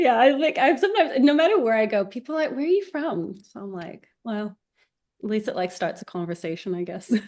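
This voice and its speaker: The delivery moves at a fairly quick pace. Pitch swings very widely and loudness rises and falls sharply. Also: woman, fairly high pitch for a woman. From New Zealand. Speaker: filmmaker. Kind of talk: interview.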